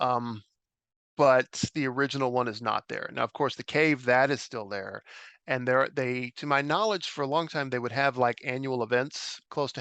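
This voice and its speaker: Against a quiet background, a man with an American accent speaks in a fairly high, bright, sharp-toned voice. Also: dry, close sound with no echo. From western US. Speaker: podcast host, journalist. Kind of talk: casual chat.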